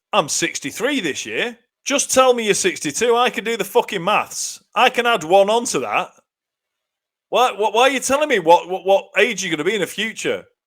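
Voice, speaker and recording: A man with a British accent speaks on a very clean recording with a silent background. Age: 40s. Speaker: comedy podcast co-host. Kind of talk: casual chat. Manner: animated.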